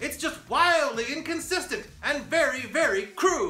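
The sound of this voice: A put-on character voice with a bright, sharp tone moves at a fairly slow pace with lively intonation. Room echo is audible, and faint music plays in the background.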